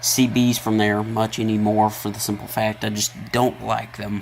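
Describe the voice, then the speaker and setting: Over noticeable background noise, a man with a Tennessee accent speaks at a moderate pace and medium pitch in a monotone, flat intonation. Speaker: hobbyist video maker, radio tinkerer. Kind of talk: casual tutorial.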